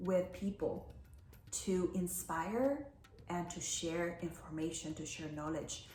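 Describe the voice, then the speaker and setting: A woman with a non-native accent speaks at a fairly slow pace. Noticeable background noise and audible room echo are present in the recording. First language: Spanish. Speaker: life coach. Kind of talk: personal talk to camera.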